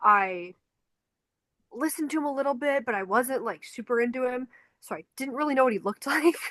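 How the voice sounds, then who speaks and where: A woman with a Chicago accent and a high pitch speaks in a bright, sharp tone with lively intonation at a fairly quick pace. She leaves long, frequent pauses, and the sound is dry and close with no echo. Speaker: podcast co-host, concert photographer. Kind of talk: casual chat.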